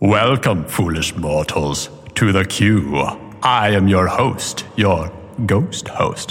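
Man in a put-on character voice, fairly low and very slow, over light background noise. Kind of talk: welcoming, sepulchral. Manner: theatrical, spooky.

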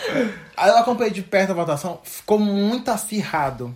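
A man with an animated tone and lively intonation at a fairly slow pace, amid noticeable background noise. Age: 20s. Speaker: podcast co-host. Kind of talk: casual chat.

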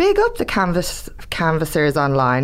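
A woman speaks with an Irish accent. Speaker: podcast co-host, campaigner. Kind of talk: scripted podcast segments.

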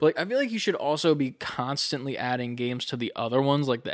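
Speaking at a very fast pace, a man with a medium pitch is heard on a very clean recording with a silent background. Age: 20s. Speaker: gaming podcast co-host. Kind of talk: casual chat. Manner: animated.

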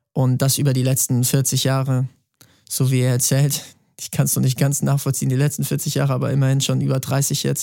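At a fairly quick pace, a man with a medium pitch and a dark, mellow tone speaks in a monotone, flat intonation. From Bavaria, Germany. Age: 30s. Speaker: singer-songwriter. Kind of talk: podcast interview.

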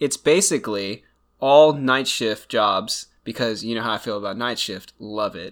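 On a very clean recording with a silent background, a man with a plain, everyday voice talks at a moderate pace in a medium pitch with ordinary pitch variation. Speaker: true crime podcast co-host. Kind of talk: casual podcast chat. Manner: casual, joking, sarcastic.

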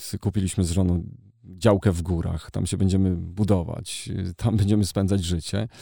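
A dark, mellow tone at a moderate pace with monotone, flat intonation, in a very clean recording with a silent background. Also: man, very deep, low pitch for a man. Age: 40s. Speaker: journalist and editor-in-chief. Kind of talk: casual interview.

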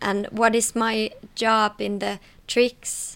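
A woman's voice at a fairly high pitch. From Finland, Tampere. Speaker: aerial acrobat. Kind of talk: interview talk.

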